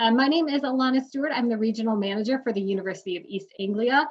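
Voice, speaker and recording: Speaking very fast at a medium pitch, a woman with a Midwestern accent uses lively intonation. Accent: nasally Midwestern. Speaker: university recruitment manager. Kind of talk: webinar panel moderation. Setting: online webinar.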